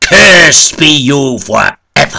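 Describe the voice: A man puts on a character voice at a slow pace, medium in pitch with big pitch swings. His tone is bright and sharp, with vocal fry.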